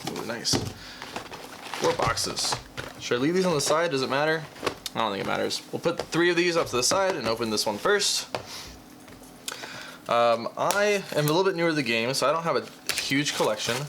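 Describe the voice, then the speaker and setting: Over noticeable background noise, the speaker moves at a fairly quick pace with lively intonation, broken by long, frequent pauses. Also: man, fairly high pitch for a man. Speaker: card game YouTuber. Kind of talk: casual unboxing commentary. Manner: fast.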